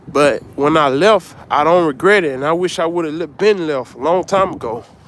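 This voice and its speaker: A man talks at a moderate pace, his pitch varying in an ordinary way, with noticeable background noise present. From US South, Mississippi. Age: 30s. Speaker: livestreamer. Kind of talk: casual live-stream chat with viewers. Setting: outdoors, walking in Lower Manhattan at night.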